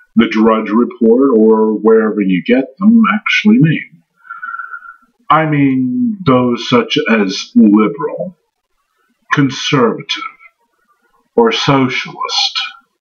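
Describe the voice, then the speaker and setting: Very slowly, a man speaks with long, frequent pauses. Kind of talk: scripted commentary response video. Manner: sarcastic.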